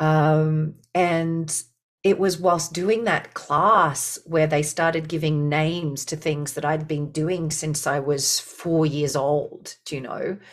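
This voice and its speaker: A woman's very deep, low voice in an Australian accent, very slow and fairly even in intonation, with music in the background. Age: 40s. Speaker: leadership and business coach. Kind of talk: interview conversation.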